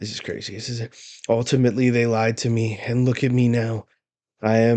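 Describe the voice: Quiet surroundings and plain reading aloud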